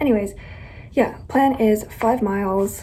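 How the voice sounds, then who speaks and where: Against noticeable background noise, a woman speaks at a fairly slow pace in a fairly high pitch with ordinary pitch variation. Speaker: vlogger. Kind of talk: casual vlog monologue.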